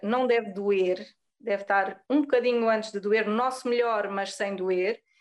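A woman speaks with a European Portuguese accent. Her pitch is fairly high. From Azores, Pico island, Portugal. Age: 30s. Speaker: yoga teacher. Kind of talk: podcast interview.

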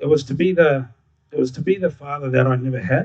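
A somewhat breathy voice with ordinary pitch variation and a fairly quick pace. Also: man. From Darwin, Northern Territory, Australia. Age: 40s. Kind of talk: live storytelling. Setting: stage with audience.

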